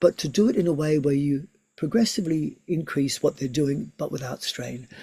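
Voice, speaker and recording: A man speaks at a fairly high pitch with a dark, mellow tone. His voice is somewhat breathy. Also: ordinary pitch variation, moderate pace. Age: 60s. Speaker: yoga teacher and physiotherapist. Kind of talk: online seminar lecture. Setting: video call.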